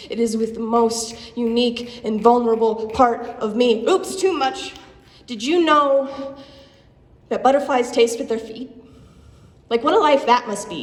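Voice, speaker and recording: With noticeable background noise behind her, a woman speaks at a moderate pace, her pitch varying in an ordinary way. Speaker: slam poet. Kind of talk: spoken word poetry performance. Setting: live venue.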